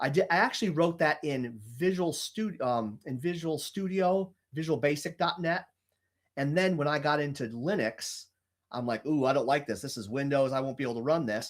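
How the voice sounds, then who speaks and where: On a very clean recording with a silent background, a man with a fairly high pitch speaks at a moderate pace with lively intonation. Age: 40s. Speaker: software developer. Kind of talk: interview answer. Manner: casual, hesitant with fillers.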